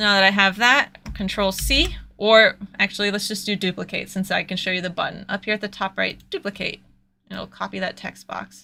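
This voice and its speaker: On a very clean recording with a silent background, a woman speaks at a fairly quick pace and medium pitch in a bright, sharp tone with vocal fry and fairly even intonation. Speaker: cosplayer giving a design tutorial. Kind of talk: livestream tutorial. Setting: livestream with screen share. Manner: fast; casual, conversational.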